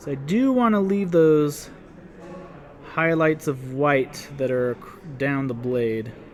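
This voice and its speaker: A man with a Utah accent speaks at a fairly high pitch with ordinary pitch variation, at a very slow pace with long, frequent pauses. Background noise is noticeable. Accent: Utah accent, dropped T's. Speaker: miniature painting instructor. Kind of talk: casual painting tutorial chat. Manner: casual, conversational.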